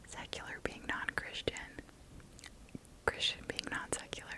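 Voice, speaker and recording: Whispering over noticeable background noise. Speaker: ASMR creator. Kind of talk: ASMR storytime. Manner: whispered.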